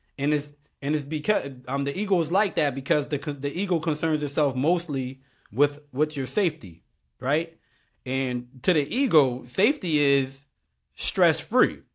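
With a northeastern US accent, a man talks at a moderate pace in a fairly high pitch with ordinary pitch variation, on a very clean recording with a silent background. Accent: urban northeastern US. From Bridgeport, Connecticut. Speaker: podcast host. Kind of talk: casual conversation. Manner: informal, repetitive, conversational.

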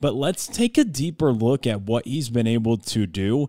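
A man with an unremarkable speaking voice talks at a fairly slow pace with lively intonation. The sound is dry and close with no echo, on a very clean recording with a silent background. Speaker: college basketball podcast co-host and analyst. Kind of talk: conversational sports analysis, offering opinions between the stat recaps. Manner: relaxed, conversational, opinionated.

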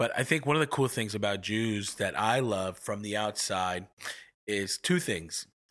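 On a very clean recording with a silent background, a man with an ordinary speaking voice and an American accent talks at a moderate pace, fairly low in pitch, with ordinary pitch variation. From New York (Long Island). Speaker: podcast co-host, minister. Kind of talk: casual chat.

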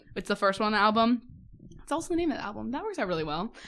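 The voice moves through very wide pitch swings over a quiet background. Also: woman. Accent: American. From US Midwest. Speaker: podcast host. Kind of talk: casual chat.

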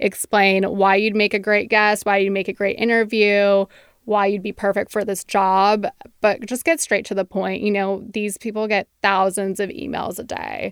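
This woman has a Californian accent and a medium pitch. Her intonation stays monotone and flat. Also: moderate pace, dry, close sound with no echo. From San Francisco Bay Area. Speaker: publicist. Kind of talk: interview conversation. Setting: studio.

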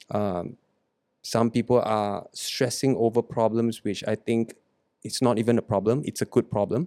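The man has a medium pitch and a dark, mellow tone, with fairly even intonation. He speaks at a moderate pace in a dry, close sound with no echo. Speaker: podcast host. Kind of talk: casual chat. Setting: studio.

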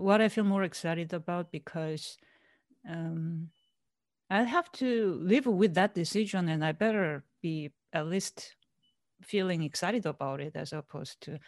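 A woman with an unremarkable speaking voice, lively intonation and a fairly slow pace, in a dry, close sound with no echo. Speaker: researcher. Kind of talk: interview answer.

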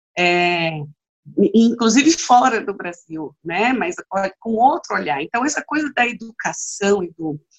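A woman has an ordinary speaking voice with a medium pitch. She speaks at a fairly slow pace in a dry, close sound with no echo. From Bahia, Brazil (Vitória da Conquista). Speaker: trade unionist and activist. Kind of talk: interview conversation.

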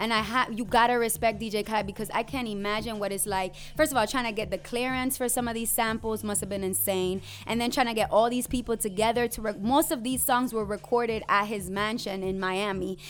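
A woman with a plain, everyday voice, fairly high in pitch, at a fairly quick pace with hardly any pauses and fairly even intonation. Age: 20s. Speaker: podcast co-host. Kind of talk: casual chat.

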